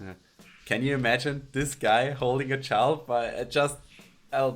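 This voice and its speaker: A man with a German accent talks at a moderate pace and medium pitch. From Alpine region. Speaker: podcast host, interviewer. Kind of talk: online interview. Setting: video call.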